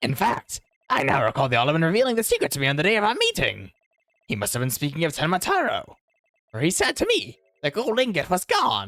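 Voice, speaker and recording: A man rattles off lines very fast in a put-on character voice pitched high. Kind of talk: comic overacting. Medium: game stream. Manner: formal, archaic, deliberate.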